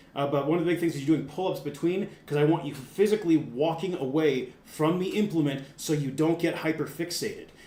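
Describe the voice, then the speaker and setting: Speaking at a fairly quick pace, this man has a fairly high pitch, and audible room echo surrounds his voice. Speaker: strength coach. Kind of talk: tutorial. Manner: casual; fast.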